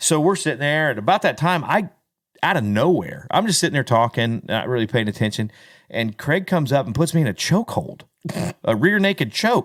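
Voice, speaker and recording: Loud and animated, a man talks at a fairly quick pace. His fairly high pitch swings very widely. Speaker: country singer and podcast host. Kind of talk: casual chat.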